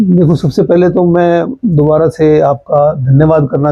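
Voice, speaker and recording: A man speaks in a somewhat breathy voice. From Haryana, India (Hansi, Fatehabad). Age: 60s. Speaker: journalist. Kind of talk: interview.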